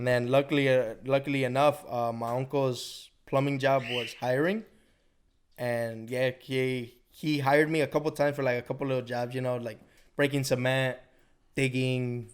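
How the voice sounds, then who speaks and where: A plain, everyday voice moves at a moderate pace with fairly even intonation. The recording is very clean, with a silent background. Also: man, medium pitch for a man. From Chicago, north side (Mexican-American). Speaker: plumber. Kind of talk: casual chat. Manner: casual, profane.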